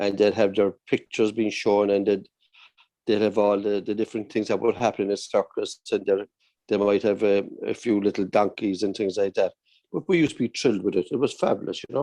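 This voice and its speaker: Dry and close with no echo, a man with a Cork accent speaks at a fairly quick pace. His pitch is fairly low, his tone dark and mellow, and his intonation fairly even. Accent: Cork Irish. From Ireland, Cork (Ballincollig and Blackpool). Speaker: barber. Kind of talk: casual chat.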